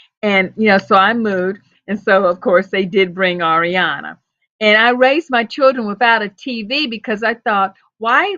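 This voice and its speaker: A woman speaks at a moderate pace in a fairly high voice, an unremarkable speaking voice with ordinary pitch variation. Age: 60s. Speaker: storyteller. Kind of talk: casual chat.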